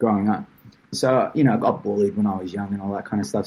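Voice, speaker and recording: A man speaks with an Australian accent. His tone is dark and mellow. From Australia, moved from Portugal at seven. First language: Portuguese. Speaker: tournament founder. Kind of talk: podcast interview.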